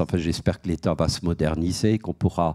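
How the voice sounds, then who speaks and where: With an Alsatian accent, a man speaks in a very deep, low voice with a dark, mellow tone against a quiet background. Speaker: head of a debt-counselling association, panelist; panelist. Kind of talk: panel talk. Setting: auditorium with audience. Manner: hesitant, many repeated words. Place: hall. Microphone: handheld.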